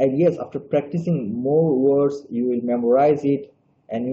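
A man with a Bangladeshi accent, somewhat breathy, with fairly even intonation and light background noise. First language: Bengali. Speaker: graduate student presenter. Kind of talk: webinar presentation. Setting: video call. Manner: slow; halting. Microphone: video call.

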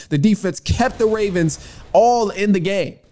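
Lively intonation marks this man's speech. He keeps a moderate pace. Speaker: podcast host. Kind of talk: sports commentary. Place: home room. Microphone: studio mic.

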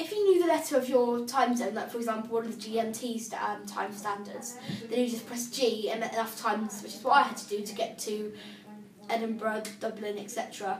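A woman with a British accent, fairly high-pitched, at a fairly quick pace, with fairly even intonation, big swings in loudness, light background noise and audible room echo. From UK. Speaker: assistive technology demonstrator; braille device user demonstrating. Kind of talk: tutorial. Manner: casual, hesitant with fillers. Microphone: phone near.

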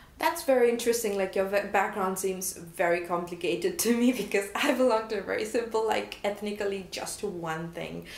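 Audible room echo surrounds a woman speaking at medium pitch. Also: ordinary pitch variation, moderate pace, hardly any pauses. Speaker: podcast host. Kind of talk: casual interview. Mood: friendly, amused. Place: studio.

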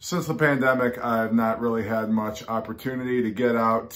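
Here a man speaks with fairly even intonation. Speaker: record collector vlogger. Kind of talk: casual vlog chat. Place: home room. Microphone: phone near.

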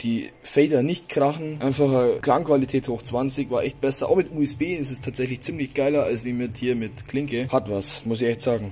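A man at a fairly quick pace, fairly even in intonation, with hardly any pauses. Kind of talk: casual vlog chat. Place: garage. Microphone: phone near.

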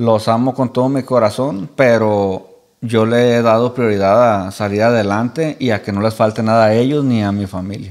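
A man speaks in a medium pitch at a moderate pace, with fairly even intonation. It is a plain, everyday voice over a quiet background. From Michoacán, Mexico. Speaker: influencer, podcast guest. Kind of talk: casual chat, interview; interview answer. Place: studio. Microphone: studio mic.

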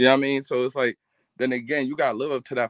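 A man speaks with a dry sound and no echo. The background is quiet. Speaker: sports commentator. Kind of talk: casual chat. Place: home room. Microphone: video call.

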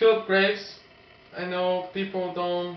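Over light background noise and audible room echo, a man talks at a fairly slow pace in a high pitch. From Brazil. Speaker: professional triathlete, co-host; co-host. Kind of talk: casual sports preview chat. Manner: halting. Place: home room. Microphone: camera far.

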